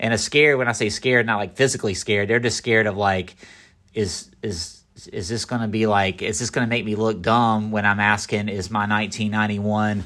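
In an American accent, a man speaks at a fairly quick pace and fairly low pitch with fairly even intonation on a very clean recording with a silent background. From North Carolina. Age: 40s. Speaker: podcast host. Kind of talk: casual monologue. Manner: halting.

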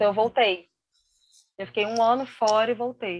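Fairly even in intonation, a woman talks in a fairly high register. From Brazil, Rio de Janeiro. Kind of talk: interview, personal testimony. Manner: halting, many fillers and repetitions.

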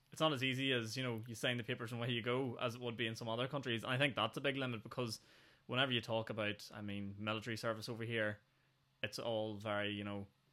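A man's medium-pitched voice in a Northern Irish accent, very fast, with monotone, flat intonation. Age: 20s. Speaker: podcast host. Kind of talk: casual chat.

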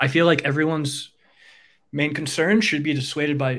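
A man with an American accent and a plain, everyday voice, fairly quick and fairly even in intonation, on a very clean recording with a silent background. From New York. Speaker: app developer. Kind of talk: casual chat.

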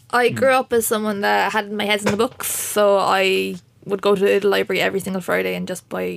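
A woman speaks with a Waterford accent. Her pace is fairly quick. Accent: Irish, Waterford. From Waterford, Ireland. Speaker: PhD researcher. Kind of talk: panel interview.

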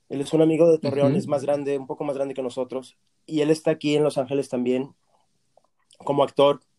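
Over a dry, close sound with no echo, a man speaks at a very fast pace. His fairly high voice has a dark, mellow tone and monotone, flat intonation. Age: 40s. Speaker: voice actor. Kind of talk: interview.

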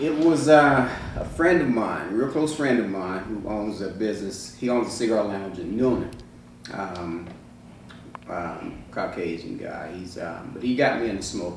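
Lively intonation from a man with a fairly low pitch, a moderate pace and big swings in loudness, in audible room echo. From Georgia. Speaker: retired fire chief, cigar shop owner. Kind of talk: casual interview. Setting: cigar lounge.

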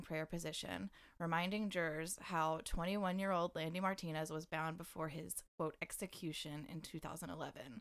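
With a normal speaking voice, a woman talks at a moderate pace and fairly low pitch with fairly even intonation, on a very clean recording with a silent background. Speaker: podcast co-host. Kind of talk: true-crime narration read from a source. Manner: steady, serious reading, then chatty and joking.

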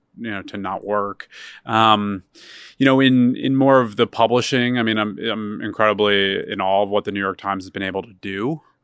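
Using an ordinary speaking voice, a man talks at a moderate pace with fairly low pitch and fairly even intonation. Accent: American. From Philadelphia, Pennsylvania. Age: 30s. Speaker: media startup CEO. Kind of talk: interview.

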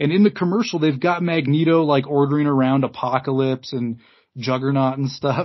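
A fairly quick pace and ordinary pitch variation in an ordinary speaking voice. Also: man, fairly high pitch for a man. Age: 30s. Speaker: podcast host. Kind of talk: casual chat.

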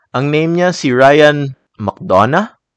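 With a relaxed, calm tone, a man speaks very slowly and with ordinary pitch variation in a dry, close sound with no echo. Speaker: art podcast host and artist. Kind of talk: solo podcast monologue.

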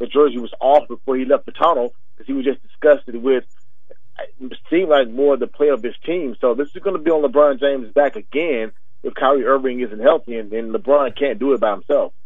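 A man's unremarkable speaking voice, medium in pitch, ordinary pitch variation, at a fairly quick pace. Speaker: sports commentator segment guest. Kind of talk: casual sports commentary.

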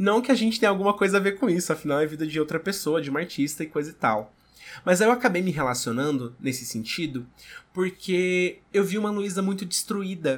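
A man talks at a fairly quick pace in a high pitch, with lively intonation and an animated tone. The recording is very clean, with a silent background. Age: 20s. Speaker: podcaster and content creator. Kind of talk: casual chat.

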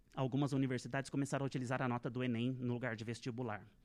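A man talks very fast with a quiet background behind him. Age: 30s. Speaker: Portuguese language teacher. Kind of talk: interview. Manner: formal.

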